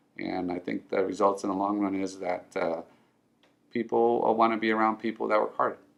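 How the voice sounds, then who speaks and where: Taking long, frequent pauses, a man with a Spanish accent speaks at a fairly quick pace with a fairly low pitch and fairly even intonation. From Southern California (born in Mexico). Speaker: financial advisor. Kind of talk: personal story interview. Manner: halting with many fillers.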